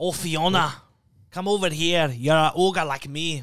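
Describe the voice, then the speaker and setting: A put-on character voice, raspy and in a Scottish accent, moves along at a moderate pace. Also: man, fairly high pitch for a man. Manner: friendly, playful.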